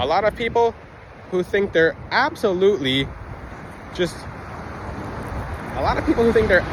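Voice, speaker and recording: A man speaks at a moderate speed while noticeable background noise carries on. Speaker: crystal healing video creator. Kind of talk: unscripted monologue. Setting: outdoors on a beach. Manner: occasional stutter; off-the-cuff, unedited.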